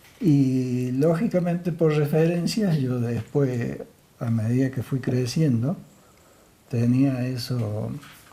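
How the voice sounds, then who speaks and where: A man with a medium pitch talks very slowly, showing ordinary pitch variation. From Argentina, Villa del Rosario. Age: 70s. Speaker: local resident interviewee. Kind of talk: interview. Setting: TV program.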